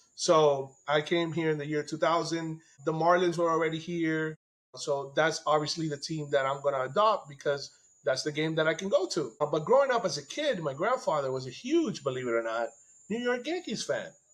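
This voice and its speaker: A fairly high-pitched man at a fairly quick pace, with ordinary pitch variation. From Nicaragua, raised in South Florida from age eight. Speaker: baseball fan. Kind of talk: casual chat. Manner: animated.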